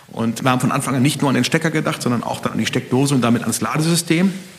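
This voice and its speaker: Through noticeable background noise, a man's voice comes across with ordinary pitch variation. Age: 40s. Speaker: family business owner and managing director. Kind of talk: interview. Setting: in person at his company. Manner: hesitant, many fillers.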